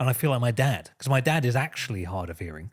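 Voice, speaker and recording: With a London accent, a man speaks very fast at a medium pitch, his voice somewhat breathy and his intonation lively, on a very clean recording with a silent background. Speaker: podcast co-host. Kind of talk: casual chat. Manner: mumbling.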